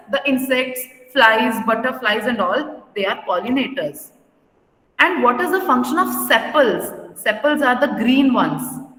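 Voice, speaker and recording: A woman's high-pitched voice at a fairly slow pace, with ordinary pitch variation and audible room echo. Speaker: school teacher. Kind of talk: lecture.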